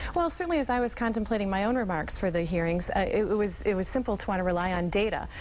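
Light background noise sits under a woman's voice. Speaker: nonprofit conservancy president. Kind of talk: TV news interview. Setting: live remote TV interview. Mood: earnest, upbeat advocacy. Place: studio. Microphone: lapel.

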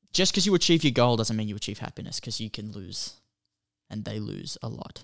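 Speaking with an Australian accent, a man uses lively intonation and a fairly quick pace. Vocal fry comes through against a quiet background. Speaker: movie podcast co-host. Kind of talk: casual chat. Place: home room. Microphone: studio mic.

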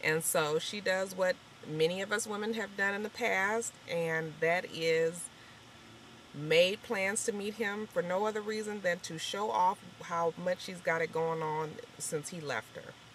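A woman speaks at a fairly slow pace with ordinary pitch variation. The sound is dry with no echo, with light background noise. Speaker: TV episode reviewer. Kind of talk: casual vlog chat. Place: car. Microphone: phone near.

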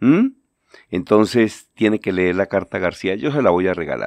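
In a dry, close sound with no echo, a man with an ordinary speaking voice talks at a moderate pace, fairly low in pitch, with ordinary pitch variation. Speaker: journalist and lecturer. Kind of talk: radio-style commentary segment.

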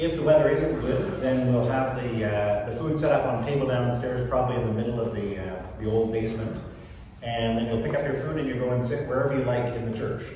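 Amid strong room echo and light background noise, a man talks at a very fast pace with fairly even intonation. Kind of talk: announcements to congregation. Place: church. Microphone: camera far.

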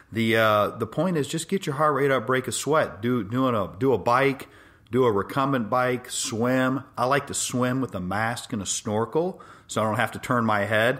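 In an American accent, a man talks at a moderate pace in an ordinary speaking voice, medium in pitch with ordinary pitch variation. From Los Angeles, US. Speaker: orthopedic spine surgeon. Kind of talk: health monologue podcast.

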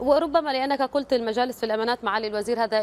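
A woman's voice over light background noise. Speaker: news anchor. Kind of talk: news presenting and live interview. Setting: studio. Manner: formal. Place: studio.

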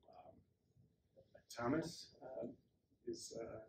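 With light background noise behind him, a man speaks in an American accent. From Wisconsin. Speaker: workshop organizer; speaker. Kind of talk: presentation. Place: meeting room. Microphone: camera far.

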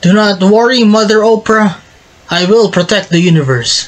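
Using a put-on character voice, a man talks at a high pitch. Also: moderate pace. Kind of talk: comic overacting. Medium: machinima.

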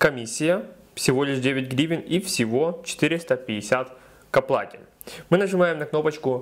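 A man with a fairly high voice talks at a very slow pace. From Ukraine. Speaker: video blogger giving crypto tutorials. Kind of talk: tutorial. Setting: screen recording voiceover.

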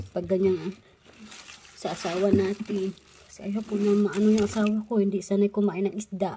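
Over light background noise, a woman talks at a fairly quick pace with monotone, flat intonation. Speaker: vlogger. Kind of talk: casual vlog chat. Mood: cheerful, laughing. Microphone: phone near.

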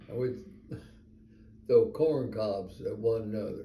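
A man's very slow, somewhat breathy voice with a dark, mellow tone, light background noise and audible room echo. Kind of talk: casual storytelling to family. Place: home room. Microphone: phone near.

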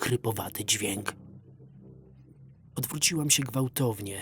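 Male speech with ordinary pitch movement, music playing behind it. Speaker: voice-over reader. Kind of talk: horror story narration.

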